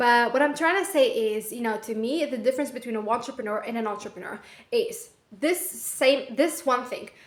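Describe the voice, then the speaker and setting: A woman's high, animated voice with lively intonation and a non-native accent. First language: not English. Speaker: vlogger, aspiring entrepreneur. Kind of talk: casual vlog monologue. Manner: rambling with fillers.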